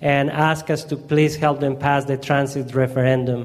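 In a strong Colombian accent, a man talks at a moderate pace in a fairly high voice with fairly even intonation. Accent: heavy Colombian Spanish. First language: Spanish. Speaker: community organizer. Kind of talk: presentation. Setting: church gathering.

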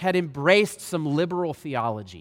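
A man keeps a moderate pace in a very clean recording with a silent background. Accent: Southern US. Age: 30s. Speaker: guest preacher. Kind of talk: sermon. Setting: church.

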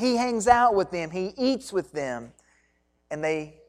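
Recorded very cleanly against a silent background, a woman speaks with very wide pitch swings. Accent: Kentucky. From Kentucky (Hancock County). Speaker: pastor. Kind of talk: sermon.

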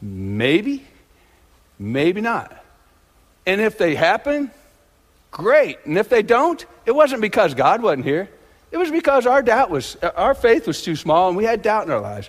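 A man's high voice with very wide pitch swings, at a fairly slow pace, broken by long, frequent pauses. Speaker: lay church member giving a sermon. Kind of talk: sermon. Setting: church with congregation.

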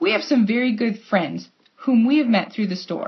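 Somewhat breathy, a woman talks in a fairly high pitch with ordinary pitch variation. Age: 30s. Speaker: preacher. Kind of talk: sermon.

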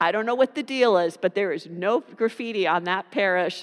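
A woman with an American accent and a normal speaking voice speaks at a medium pitch with ordinary pitch variation, in a dry, close sound with no echo on a very clean recording with a silent background. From US (California and New Jersey). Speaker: pastor. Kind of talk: sermon.

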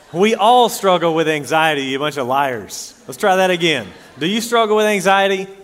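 Lively intonation at a moderate pace comes through audible room echo and noticeable background noise. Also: man, high pitch for a man. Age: 30s. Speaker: pastor. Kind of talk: sermon.

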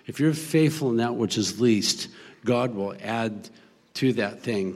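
A man talks at a moderate pace in an ordinary speaking voice. His pitch sits in the medium range. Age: 60s. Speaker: missionary pastor. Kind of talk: interview testimony. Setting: church service with congregation.

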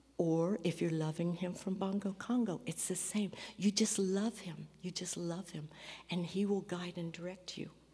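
With an American accent, a woman speaks at a moderate pace and medium pitch, her dark, mellow tone somewhat breathy and her intonation fairly even. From US Midwest, rural. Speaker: missionary. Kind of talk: testimony in church service. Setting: church.

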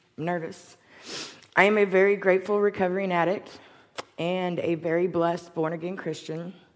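The intonation stays flat and monotone. Delivery holds a moderate pace. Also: woman. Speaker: recovering addict giving testimony. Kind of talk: testimony.

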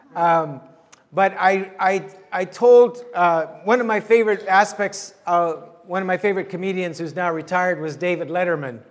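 A man's high-pitched voice with ordinary pitch variation at a moderate pace, over noticeable background noise. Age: 60s. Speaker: pastor. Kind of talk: sermon. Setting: church.

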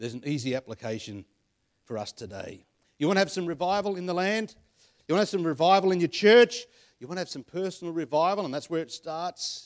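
With an Australian accent and a high pitch, a man races along at a very fast pace with lively intonation, on a very clean recording with a silent background. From Australia, western Sydney (Penrith). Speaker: preacher. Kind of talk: sermon. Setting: church.

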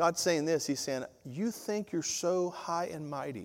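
On a very clean recording with a silent background, a man with a Southern US accent talks at a fairly slow pace and fairly high pitch, with lively intonation. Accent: Southern US (Georgia). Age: 50s. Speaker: pastor. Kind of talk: sermon. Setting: church. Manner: animated.

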